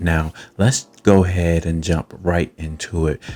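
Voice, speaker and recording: A man's very deep, low voice at a very slow pace, with fairly even intonation and a dry, close sound with no echo. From not from Kentucky. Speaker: photography YouTuber. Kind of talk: tutorial.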